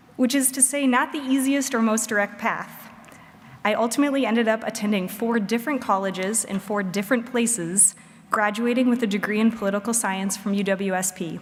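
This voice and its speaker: In an American accent, a woman speaks at a fairly high pitch, with audible room echo and noticeable background noise. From Wisconsin. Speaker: commencement speaker, state utility regulator. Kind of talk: commencement speech. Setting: stage with audience.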